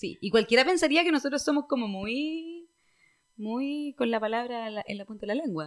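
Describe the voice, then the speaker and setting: Speaking at a moderate pace with a Chilean accent, a woman uses a high voice and lively intonation. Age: 20s. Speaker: podcast host. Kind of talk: casual chat.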